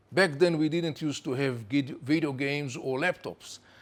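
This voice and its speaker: On a very clean recording with a silent background, a man with an Israeli accent speaks at a moderate pace. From Israel, Jerusalem. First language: Hebrew. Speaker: former intelligence official and Middle East analyst. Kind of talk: virtual tour introduction.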